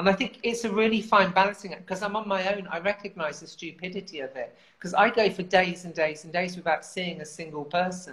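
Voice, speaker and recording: A fairly quick London accent with hardly any pauses, big swings in loudness, ordinary pitch variation, and noticeable background noise. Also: woman, medium pitch for a woman. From southern England. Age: 50s. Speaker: writer and campaigner. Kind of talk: casual chat. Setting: video call.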